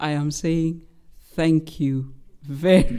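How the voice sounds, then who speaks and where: On a very clean recording with a silent background, a woman with a Kenyan accent speaks in a dark, mellow tone. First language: Luhya. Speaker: human rights lawyer. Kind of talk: public lecture. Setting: lecture hall with audience. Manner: formal.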